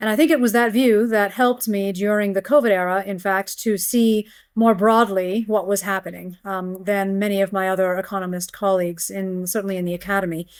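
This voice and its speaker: On a very clean recording with a silent background, a woman at medium pitch talks at a fairly quick pace in fairly even intonation, with hardly any pauses. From US, Pennsylvania. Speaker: economics professor. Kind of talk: interview.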